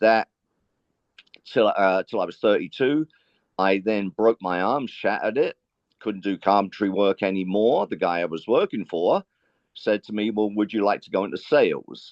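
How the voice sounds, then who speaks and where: Using an American accent, a man speaks at a moderate pace with ordinary pitch variation. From London, England. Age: 60s. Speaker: sales trainer and businessman. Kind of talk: interview conversation.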